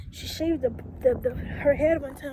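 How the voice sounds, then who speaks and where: A woman with a high pitch talks at a moderate pace over noticeable background noise. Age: 20s. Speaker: vlogger giving relationship advice. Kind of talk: casual story time vlog.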